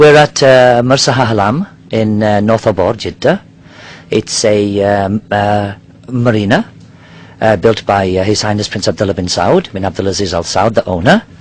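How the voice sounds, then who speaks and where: At a moderate pace, a man talks with ordinary pitch variation against noticeable background noise. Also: fairly low pitch for a man. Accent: British. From Nigeria. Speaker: diving company worker. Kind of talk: interview. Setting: on a yacht in a marina. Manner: hesitant, many fillers.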